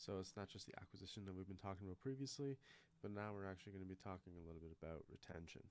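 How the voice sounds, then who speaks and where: This man's voice sits at a very deep, low pitch. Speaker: marketing consultant. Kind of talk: screen walkthrough tutorial. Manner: casual, conversational.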